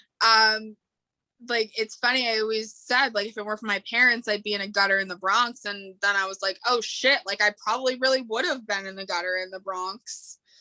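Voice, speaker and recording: A fairly high-pitched woman with a New York accent, ordinary pitch variation and a fairly quick pace. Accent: New York American. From New York State, outside New York City. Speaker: podcast guest. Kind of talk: casual interview chat. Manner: casual, filler-heavy.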